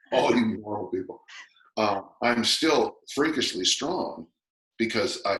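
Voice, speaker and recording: A man speaks at a fairly slow pace with long, frequent pauses. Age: 60s. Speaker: strength coach. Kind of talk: podcast interview.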